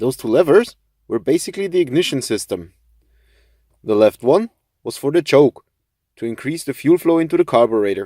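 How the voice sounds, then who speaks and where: The speaker, with a non-native accent, talks at a fairly quick pace in very wide pitch swings. Long pauses come often. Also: man, fairly high pitch for a man. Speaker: car video presenter. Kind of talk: presentation to camera. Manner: formal.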